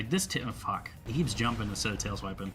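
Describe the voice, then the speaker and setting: A man's fairly low pitch over music in the background, with audible room echo. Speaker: gaming youtuber. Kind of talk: gameplay commentary. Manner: stutters over words; casual, fast rambling.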